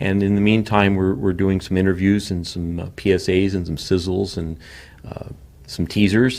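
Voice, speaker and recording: In an ordinary speaking voice, a man with a fairly low pitch talks at a moderate pace with ordinary pitch variation. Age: 60s. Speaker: show creator and producer. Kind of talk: interview.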